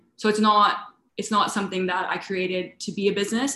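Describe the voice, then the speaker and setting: A woman with a Canadian accent speaks at a very fast pace. Her pitch is medium and her intonation fairly even. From Canada, suburbs of Toronto. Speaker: food business owner. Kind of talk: interview.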